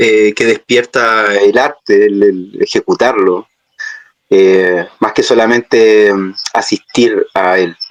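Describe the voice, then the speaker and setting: Someone with a Chilean accent speaks at a very slow pace with fairly even intonation. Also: man, fairly low pitch for a man. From Chile, Santiago. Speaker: puppeteer. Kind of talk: interview. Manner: hesitant, many fillers.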